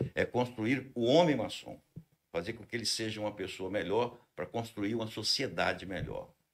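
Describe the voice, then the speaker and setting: In an ordinary speaking voice, a man talks at a medium pitch and moderate pace with ordinary pitch variation. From Brazil, Espírito Santo (Linhares). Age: 60s. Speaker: fraternal order leader. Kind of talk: podcast interview.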